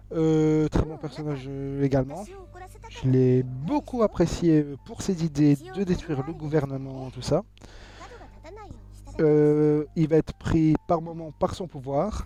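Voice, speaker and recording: A very slow pace with long, frequent pauses over noticeable background noise. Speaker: video game reviewer. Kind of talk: video review. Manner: halting, many fillers.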